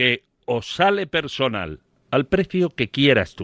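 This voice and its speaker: A man's voice swings very widely in pitch. The recording is very clean with a silent background, and the sound is dry and close with no echo. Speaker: sports radio pundit. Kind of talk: radio panel debate. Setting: radio studio.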